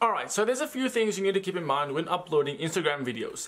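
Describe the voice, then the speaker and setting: A man's high voice at a very fast pace, with very wide pitch swings. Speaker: youtuber. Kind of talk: tutorial. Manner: slurred, speaking weird. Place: home room.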